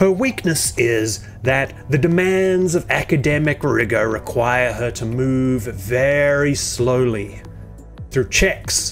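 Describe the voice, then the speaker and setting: A man talks very slowly with lively intonation. Music plays in the background. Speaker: video essay narrator. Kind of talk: satirical commentary narration.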